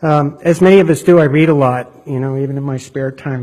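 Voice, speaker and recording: A man speaks at a fairly high pitch and a moderate pace. His voice is somewhat breathy. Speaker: federal defender attorney. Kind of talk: appellate court oral argument.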